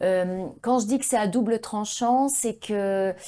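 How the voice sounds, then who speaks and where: A woman's dark, mellow voice with ordinary pitch variation, in a very clean recording with a silent background. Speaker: voice actress. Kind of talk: interview.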